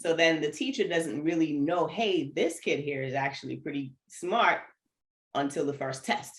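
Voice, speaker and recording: In an American accent, a woman speaks with a very deep, low pitch and ordinary pitch variation. Her tone is animated. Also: moderate pace. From New York, Antiguan family. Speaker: runner, educator and speaker. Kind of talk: casual interview chat.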